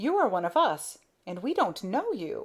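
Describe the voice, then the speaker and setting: In a put-on character voice, a woman speaks with a high pitch at a moderate pace. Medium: read story. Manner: rough, bossy.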